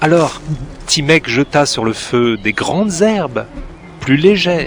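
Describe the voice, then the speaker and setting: Very slow speech from a man pitched fairly high. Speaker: storyteller. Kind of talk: read story. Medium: cartoon.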